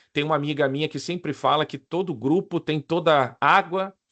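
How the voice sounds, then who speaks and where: The recording is dry and close with no echo against a quiet background. A man speaks in a fairly high pitch with ordinary pitch variation. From Rio de Janeiro, Brazil. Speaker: risk management consultant and lecturer. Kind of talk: online presentation to professionals. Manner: casual, informal.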